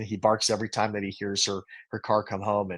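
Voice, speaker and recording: The background stays quiet. Against it, a man talks at a fairly quick pace. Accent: American. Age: 50s. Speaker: Navy veteran and amputee. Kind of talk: testimony. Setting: podcast interview. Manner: halting.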